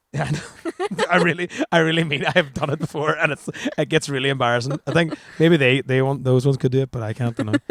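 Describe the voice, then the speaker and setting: With an Irish accent, a man talks at a very fast pace in a fairly high pitch with ordinary pitch variation, and the sound is dry and close with no echo. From Ireland. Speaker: band frontman. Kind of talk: interview. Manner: halting.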